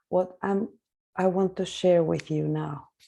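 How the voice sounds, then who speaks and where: This woman speaks with a non-native accent. Her voice sits at a medium pitch. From Argentina, Buenos Aires. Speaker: psychotherapist. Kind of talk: panel talk. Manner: halting.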